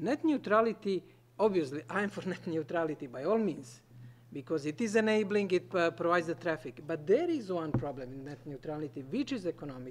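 A man with a non-native accent talks at a fairly quick pace. His voice is high and swings very widely in pitch. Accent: noticeable non-native English. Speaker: conference panelist. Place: meeting room. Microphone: podium.

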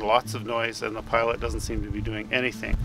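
Clear music plays behind a man speaking at a moderate pace, the sound dry with no echo. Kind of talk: safety briefing. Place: open country. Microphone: phone near.

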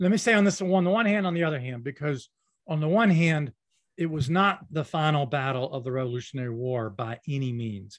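In an ordinary speaking voice, a man talks fairly quickly with lively intonation and a fairly high pitch against a quiet background. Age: 60s. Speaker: historian. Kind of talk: interview.

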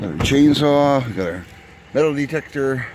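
A man speaks at a very slow pace. The sound is dry with no echo, and there is noticeable background noise. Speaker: outdoors vlogger. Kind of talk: casual vlog chat. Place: forest. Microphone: phone near.

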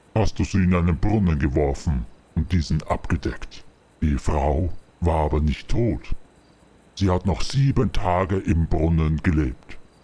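A man's put-on character voice, very deep and low in pitch, at a fairly slow pace with long, frequent pauses. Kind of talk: horror taunting. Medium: machinima. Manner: menacing, gloating.

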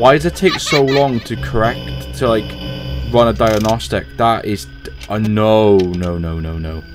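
A man's fairly low voice at a fairly slow pace, with clear music in the background. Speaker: gaming video creator. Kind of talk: gameplay commentary. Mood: casual, sometimes tense. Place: home room.

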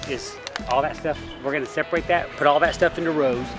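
A man with a fairly high pitch talks at a very fast pace with ordinary pitch variation. Clear music plays in the background. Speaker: auctioneer. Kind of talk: casual talk to camera, giving instructions to crew. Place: garden.

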